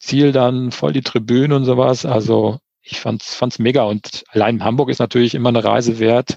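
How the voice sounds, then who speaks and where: A man talks at a moderate pace in a plain, everyday voice with fairly even intonation. The sound is dry and close, with no echo. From Hesse, Germany (Eschborn near Frankfurt). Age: 40s. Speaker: amateur triathlete. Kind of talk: casual interview.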